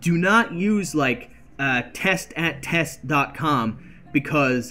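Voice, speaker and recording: A man talks with lively intonation. Music can be heard behind him. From Canada. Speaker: game streamer. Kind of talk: live stream commentary. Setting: live stream. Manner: fast; slurred words blending together.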